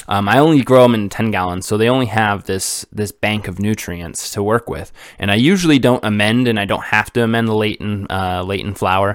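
Speaking at a fairly quick pace with hardly any pauses, a man uses a fairly low pitch and ordinary pitch variation. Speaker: podcast host, cannabis grower. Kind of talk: solo educational talk. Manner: hesitant, many fillers and repeats; casual, rambling.

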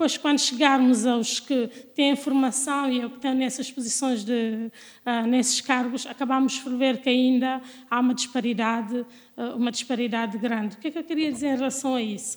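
High-pitched female speech at a moderate pace with monotone, flat intonation. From Guinea-Bissau. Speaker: lawyer and doctoral researcher. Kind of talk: interview.

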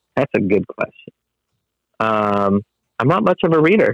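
A man with an American accent talks at a moderate pace with ordinary pitch variation. The sound is dry and close, with no echo. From Whittier, Los Angeles area, California. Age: 30s. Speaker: construction business owner. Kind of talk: interview. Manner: halting, many fillers.

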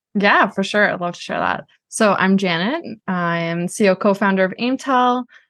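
A woman with an American accent and an ordinary speaking voice, medium pitch, ordinary pitch variation and a moderate pace, set against a quiet background. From Boston, US. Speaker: marketing agency CEO. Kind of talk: interview. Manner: casual, many fillers.

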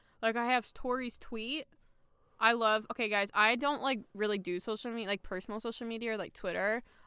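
A woman speaks at a fairly quick pace in a fairly high, bright and sharp voice, recorded very cleanly against a silent background. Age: 20s. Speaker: podcast host. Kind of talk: casual chat. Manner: animated; excitable.

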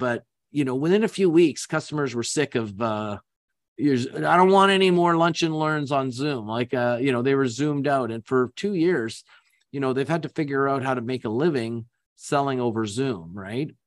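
A man of medium pitch speaks at a moderate pace with lively intonation in an unremarkable speaking voice. The sound is dry and close with no echo, over a quiet background. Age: 60s. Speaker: business founder and executive. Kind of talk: interview.

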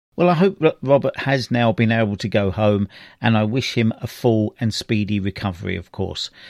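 A man at a medium pitch and moderate pace, an unremarkable speaking voice, in a very clean, silent-background recording with a dry, close sound and no echo. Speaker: hospital radio presenter. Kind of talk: radio interview and feature presenting. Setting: walking around hospital ward.

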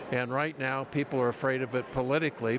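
A man talks at a moderate pace with a medium pitch. Noticeable background noise runs behind him. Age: 70s. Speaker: senior advocacy group president. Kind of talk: interview. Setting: conference event.

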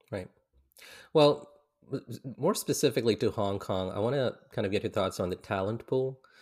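A man with an American accent, a normal speaking voice and medium pitch, lively intonation and a moderate pace, on a very clean recording with a silent background. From grew up in India, Philippines and the US. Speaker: podcast host. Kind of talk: casual interview chat.

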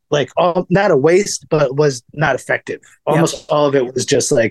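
Recorded with a dry, close sound and no echo, a man with an American accent and an ordinary speaking voice talks at a fairly quick pace and fairly high pitch, with ordinary pitch variation. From US East Coast. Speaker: filmmaker and stand-up comedian. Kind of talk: casual interview chat.

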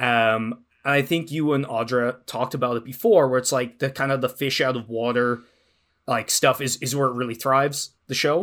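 At a moderate pace, a man talks with a medium pitch and fairly even intonation. The recording is very clean, with a silent background. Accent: Irish. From Ireland. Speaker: podcast co-host and actual-play performer. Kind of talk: casual chat.

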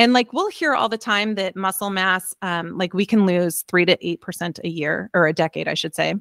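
An unremarkable speaking voice moves at a moderate pace with ordinary pitch variation, captured on a very clean recording with a silent background and a dry, close sound lacking echo. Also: woman. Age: 50s. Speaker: fitness coach. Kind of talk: casual interview.

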